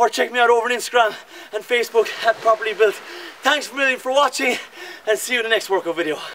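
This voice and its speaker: A man speaks at a very fast pace in a raised, projected voice with ordinary pitch variation. Light background noise sits behind him. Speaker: fitness trainer. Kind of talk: workout coaching cues. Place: beach.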